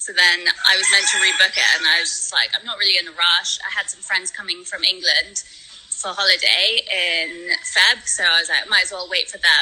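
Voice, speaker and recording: A woman with a London accent speaks at a moderate pace with big swings in loudness against noticeable background noise. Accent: British English, London. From born in Spain, raised in London. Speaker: world traveler and charity fundraiser. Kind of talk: casual interview chat. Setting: video call from the Philippines.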